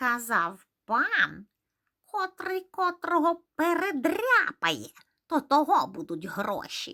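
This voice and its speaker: Very slowly, someone delivers the words in a put-on character voice. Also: woman, extremely high pitch for a woman. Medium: read story. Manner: whiny, petulant.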